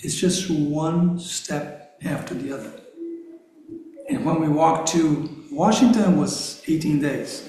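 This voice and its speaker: Amid audible room echo and noticeable background noise, a man talks at a very slow pace in a fairly high pitch with ordinary pitch variation. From Brazil. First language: Portuguese. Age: 60s. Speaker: activist guest speaker. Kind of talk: conversational interview in a congregation. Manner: halting.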